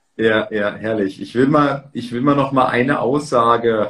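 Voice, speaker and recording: Here is a man with a plain, everyday voice at a medium pitch. He talks at a fairly slow pace with fairly even intonation. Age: 30s. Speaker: stock and real estate content creator, interviewer. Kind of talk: interview. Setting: livestream.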